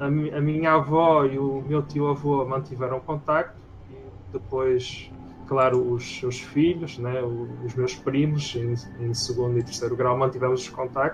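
With a European Portuguese accent, a man speaks at a fairly slow pace and medium pitch. His intonation is fairly even. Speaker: game developer. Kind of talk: interview.

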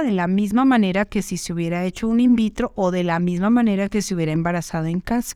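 On a very clean recording with a silent background, a woman speaks fairly quickly in a plain, everyday voice with ordinary pitch variation. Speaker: fertility doctor. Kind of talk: educational monologue. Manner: conversational.

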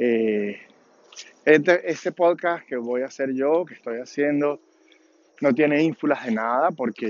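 A man's medium-pitched voice at a fairly slow pace, with ordinary pitch variation

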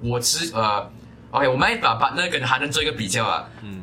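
A man's medium-pitched voice with a Malaysian accent, audible room echo and noticeable background noise. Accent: Malaysian Mandarin. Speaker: basketball podcast co-host. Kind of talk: casual chat.

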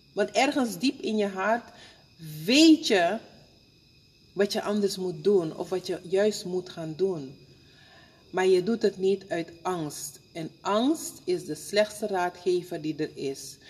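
A woman with a medium-pitched voice speaks very slowly, her intonation lively. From Suriname. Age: 50s. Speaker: spiritual counselor and funeral home worker. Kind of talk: interview. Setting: at her workplace, a funeral home.

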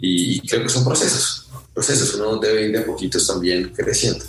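A man speaks over noticeable background noise. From Colombia, Sogamoso, Boyacá. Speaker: film festival director. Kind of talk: interview.

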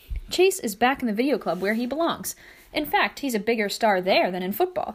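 The voice heard here is a natural reading voice.

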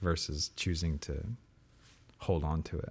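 On a very clean recording with a silent background, a man with an American accent speaks at a fairly slow pace. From US. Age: 30s. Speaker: old friend of the host. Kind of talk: casual chat. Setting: in person recording.

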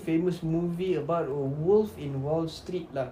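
A Malaysian accent at a moderate pace, with noticeable background noise. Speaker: podcast host. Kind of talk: casual banter. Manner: joking, sarcastic.

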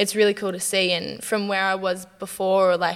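Speaking at a moderate pace, a woman with a medium-pitched voice keeps a monotone, flat intonation. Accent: Australian. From Newcastle, Australia. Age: 20s. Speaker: professional basketballer. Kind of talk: casual interview.

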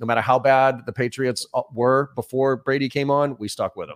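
A man with an American accent talks at a moderate pace in a normal speaking voice, his pitch medium and his intonation fairly even. The sound is dry and close, with no echo. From Boston, US. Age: 40s. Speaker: sales trainer. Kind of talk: interview.

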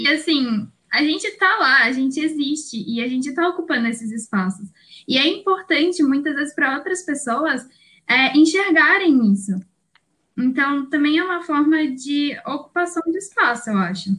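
A woman's high voice with a bright, sharp tone, lively intonation and a moderate pace. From Brazil, São Paulo. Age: 20s. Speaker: law student. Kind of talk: casual chat.

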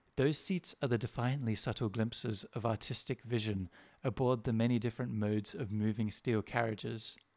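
A man with an unremarkable speaking voice and medium pitch talks at a fairly quick pace, with fairly even intonation and very even loudness. The recording is very clean with a silent background and a dry, close sound with no echo. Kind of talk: poetry reading, satirical spoken-word essay.

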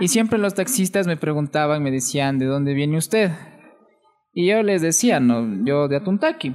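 Lively in intonation, a man speaks at a moderate pace and fairly high pitch, his loudness very even. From Ecuador, Atuntaqui (Imbabura). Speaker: podcast guest. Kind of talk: casual chat.

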